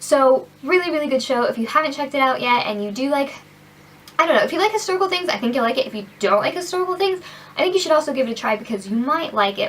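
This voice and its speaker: A woman's animated, very fast delivery with very wide pitch swings, over noticeable background noise. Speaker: beauty vlogger. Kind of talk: casual product review vlog.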